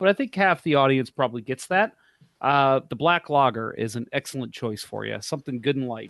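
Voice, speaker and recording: A man talks in a normal speaking voice at medium pitch with ordinary pitch variation. The sound is dry and close with no echo, and the background is quiet. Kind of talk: casual, irreverent sports banter. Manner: joking, profane, sarcastic.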